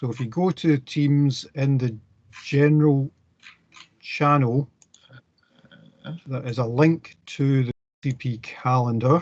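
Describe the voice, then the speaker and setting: Very slowly and with long, frequent pauses, a man speaks with a Scottish accent in a fairly high, somewhat breathy voice and fairly even intonation. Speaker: university lecturer. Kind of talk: lecture.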